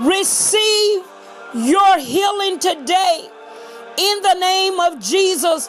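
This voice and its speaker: Music plays in the background as a woman speaks at an extremely high pitch. Her raised, projected voice moves at a very slow pace. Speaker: apostle / minister giving a prophetic prayer. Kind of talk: prophetic prayer, sermon-style declaration. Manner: authoritative, emphatic, declarative.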